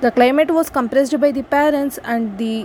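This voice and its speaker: A woman's voice over noticeable background noise. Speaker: student speaker. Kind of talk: prepared speech. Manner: halting.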